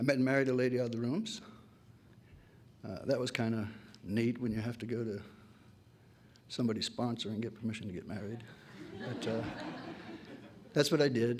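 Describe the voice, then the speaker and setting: Amid audible room echo, a man of medium pitch speaks at a fairly quick pace with fairly even intonation and long, frequent pauses. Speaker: AA speaker, recovering alcoholic. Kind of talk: testimony. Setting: AA meeting with audience.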